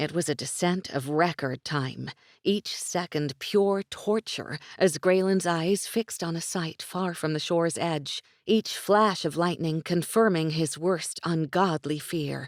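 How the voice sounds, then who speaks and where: An unremarkable speaking voice from a woman, fairly low in pitch, fairly slow in pace, with ordinary pitch variation and a dry, close sound with no echo. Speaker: audiobook narrator. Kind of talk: audiobook narration.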